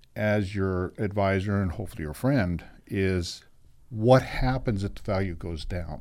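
At a moderate pace, a man with a plain, everyday voice speaks at a fairly low pitch with ordinary pitch variation, in a very clean recording with a silent background. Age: 60s. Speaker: real estate broker. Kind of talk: radio talk show interview.

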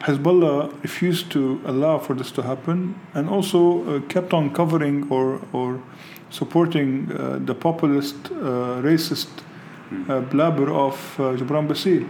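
A man speaks at a moderate pace in a fairly high voice with ordinary pitch variation. The room echo is audible, and noticeable background noise runs underneath. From Lebanon. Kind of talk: interview. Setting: outdoors overlooking street protests.

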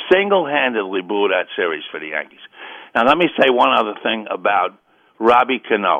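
Talking at a fairly quick pace, a man with a New York accent makes very wide pitch swings. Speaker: caller. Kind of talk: call-in sports talk. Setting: phone call.

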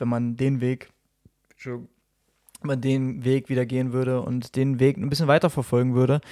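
Over a very clean recording with a silent background, a man of medium pitch speaks at a moderate pace in a monotone, flat intonation. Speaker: podcast host. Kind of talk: casual chat. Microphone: new microphone.

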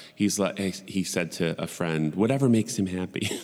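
Talking at a fairly quick pace, a man with an American accent uses a fairly low pitch and an animated tone. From Buffalo, New York. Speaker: podcast host. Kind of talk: casual solo monologue. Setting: home recording setup. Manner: rambling.

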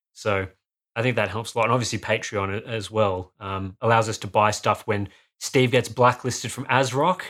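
A man speaks at medium pitch and a moderate pace with ordinary pitch variation. The recording is very clean, with a silent background. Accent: Australian. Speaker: hardware reviewer. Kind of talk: casual chat.

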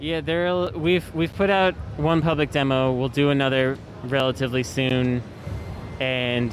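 A man speaks with an American accent and ordinary pitch variation. Noticeable background noise runs underneath. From US West Coast, San Francisco Bay Area. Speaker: video game developer. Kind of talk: interview.

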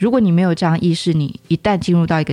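Music plays in the background as a woman speaks. Her pitch is fairly low, with ordinary variation. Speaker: teacher. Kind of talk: casual chat.

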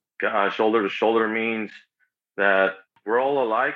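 In an American accent, a man talks at a fairly quick pace and a medium pitch, keeping his intonation fairly even. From Los Angeles. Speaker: supporters group leader. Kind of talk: casual interview.

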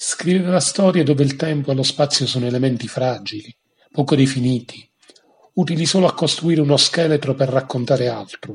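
A man speaks at a fairly quick pace in a fairly high voice. It sounds somewhat breathy, with ordinary pitch variation. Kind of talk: poet reading aloud.

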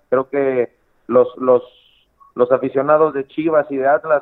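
Delivery proceeds at an average tempo. The voice stays flat and monotone throughout. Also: man. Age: 30s. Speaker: professional footballer. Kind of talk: interview. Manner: halting, many repetitions.

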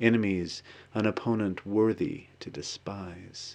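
A man's plain, everyday voice with an American accent, fairly low in pitch, at a fairly slow pace with ordinary pitch variation, against a quiet background. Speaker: poet reading own work. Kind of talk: poetry reading, read aloud from the page. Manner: measured, contemplative, literary.

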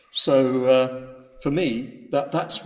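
A man's medium-pitched voice holds fairly even intonation, with noticeable background noise behind it. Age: 70s. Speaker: Buddhist teacher. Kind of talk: dharma talk. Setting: retreat talk to a live audience. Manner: hesitant with many fillers.

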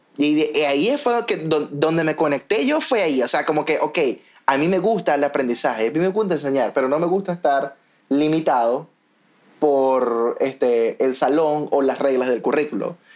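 Fairly high-pitched, a man talks at a moderate pace with ordinary pitch variation and very even loudness. Noticeable background noise is present. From Venezuela, Maracaibo. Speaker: podcast host, educator. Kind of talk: casual chat.

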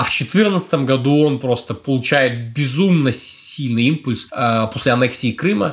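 A somewhat breathy man's voice at medium pitch with ordinary pitch variation and very even loudness, fairly slow with hardly any pauses, on a very clean recording with a silent background. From Belarus, Brest. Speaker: foreign policy analyst, former diplomat. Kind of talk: interview. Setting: studio.

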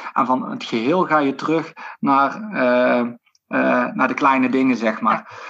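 A man talks at a very slow pace, his intonation lively. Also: medium pitch for a man. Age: 40s. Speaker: sports physiotherapist. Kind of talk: interview conversation. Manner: halting, many fillers.

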